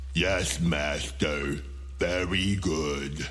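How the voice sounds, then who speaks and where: A man performs in a put-on character voice. Clear background noise can be heard. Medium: read story. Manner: meek, servile.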